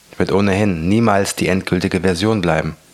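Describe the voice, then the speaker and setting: A man's voice at a moderate pace, fairly even in intonation, over noticeable background noise. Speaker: motivational podcaster and author. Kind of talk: reading aloud from own book. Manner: soft-spoken.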